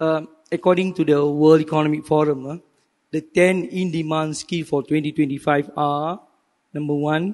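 The background is quiet as a man talks at a moderate pace. His voice sits fairly high and stays flat and monotone. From Malaysia. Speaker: professor and business faculty dean; professor. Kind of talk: panel presentation. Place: hall. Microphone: handheld.

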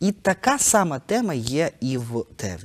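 Intonation rises and falls in a lively way. The man delivers it all at a very slow pace. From eastern Ukraine (Kharkiv); Ukraine. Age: 30s. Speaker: theatre director; guest. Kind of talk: interview; interview answer. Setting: studio. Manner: hesitant, many filler sounds. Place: studio. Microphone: lapel.

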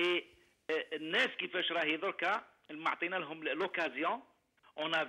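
A man speaks in a high-pitched voice. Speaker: caller. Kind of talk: phone-in comment.

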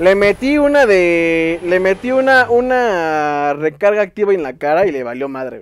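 With a Mexican accent, the speaker goes at a fairly slow pace with hardly any pauses, very wide pitch swings and big swings in loudness. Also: man, high pitch for a man. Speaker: gaming youtuber. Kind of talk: gameplay commentary. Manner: animated.

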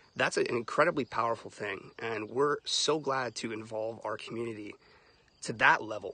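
The tone is bright and sharp, with ordinary pitch variation at a moderate pace. The sound is dry, with no echo. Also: man. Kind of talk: casual livestream talk. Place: open country. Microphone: phone near.

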